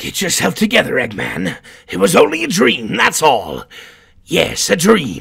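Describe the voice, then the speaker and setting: At a moderate pace, a man uses a put-on character voice pitched fairly high. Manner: grumpy, irritable.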